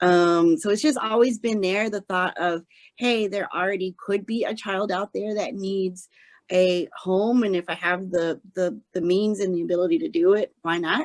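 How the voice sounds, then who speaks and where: The sound of this woman's voice is dry and close, with no echo. She speaks at a moderate pace with a medium pitch and ordinary pitch variation. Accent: slight Southern US. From Arkansas. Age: 30s. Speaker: podcast guest, blind adoptive mother. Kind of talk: casual interview chat. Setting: remote call. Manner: animated.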